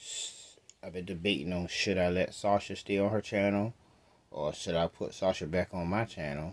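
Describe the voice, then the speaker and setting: Keeping his intonation fairly even, a man speaks at a moderate pace with a very deep, low pitch. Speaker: vlogger. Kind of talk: casual vlog chat. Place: home room. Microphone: phone near.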